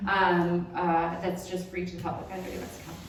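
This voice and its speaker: A woman with an American accent at a fairly quick pace, with audible room echo and noticeable background noise. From Michigan, US. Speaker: chiropractor and lecturer. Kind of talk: lecture. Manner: fast.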